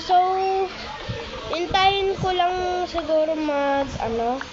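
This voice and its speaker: A loud woman's voice at an extremely high pitch, with audible room echo and noticeable background noise. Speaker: Minecraft gaming YouTuber. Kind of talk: gameplay commentary. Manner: casual, chatty. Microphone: phone mic, lagging.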